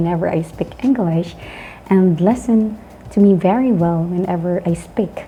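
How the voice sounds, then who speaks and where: A woman with a Filipino accent talks at a moderate pace in a medium pitch, with fairly even intonation. Noticeable background noise sits behind her. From Philippines. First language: not English. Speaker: English teacher, online channel host. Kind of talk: educational talk. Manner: halting.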